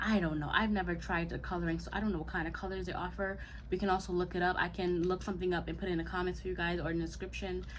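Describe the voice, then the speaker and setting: Audible room echo surrounds a woman talking. She goes at a very fast pace with hardly any pauses. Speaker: YouTuber, natural hair vlogger. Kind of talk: casual vlog tutorial. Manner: halting, many fillers.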